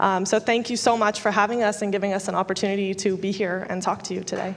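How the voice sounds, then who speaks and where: Amid noticeable background noise, a woman talks at a very fast pace with a medium pitch and monotone, flat intonation. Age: 20s. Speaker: tech startup co-founder. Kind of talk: panel discussion.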